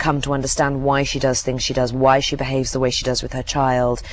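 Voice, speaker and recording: This woman's voice is very deep and low-pitched. Noticeable background noise can be heard behind her. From England. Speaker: actress. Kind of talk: interview answer.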